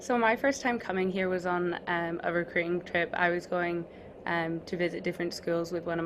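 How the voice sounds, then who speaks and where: A woman speaks in a Scottish accent with monotone, flat intonation. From Scotland. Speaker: college basketball player. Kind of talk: interview.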